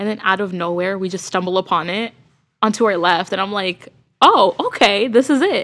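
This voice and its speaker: A woman with a plain, everyday voice, medium pitch and ordinary pitch variation at a moderate pace. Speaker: podcast co-host. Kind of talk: casual chat. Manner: laughs often.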